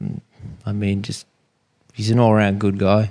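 With an Australian accent, a man talks in a fairly low, dark, mellow voice. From Sydney, Australia. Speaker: fishing guide. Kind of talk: interview. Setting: in a home.

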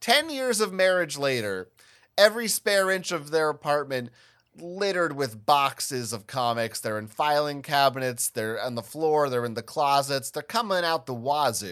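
Recorded very cleanly against a silent background, the voice moves at a moderate pace with very wide pitch swings. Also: man, fairly high pitch for a man. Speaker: podcast host and judge. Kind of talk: casual banter podcast.

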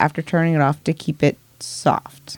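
A woman at a fairly low pitch and moderate pace, with a dry, close sound and no echo. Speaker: podcast co-host. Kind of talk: casual chat.

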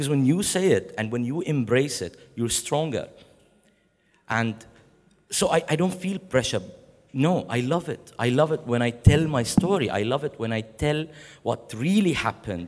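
At a moderate pace, a man speaks with lively intonation and long, frequent pauses. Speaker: poet in exile. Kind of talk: panel discussion. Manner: halting.

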